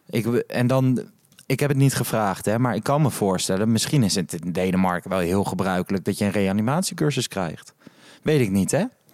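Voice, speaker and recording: A man with an unremarkable speaking voice talks at fairly low pitch. His pace is moderate and his intonation lively. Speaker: podcast host. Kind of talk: casual chat. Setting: hotel lobby at night.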